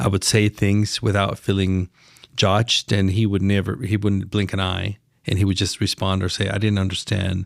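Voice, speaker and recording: A man with a Spanish accent and a fairly low pitch speaks at a fairly quick pace in a monotone, flat intonation, in a dry, close sound with no echo. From Mexico, Chiapas. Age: 50s. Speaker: lawyer and business leader. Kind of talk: podcast interview. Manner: halting, with repetitions.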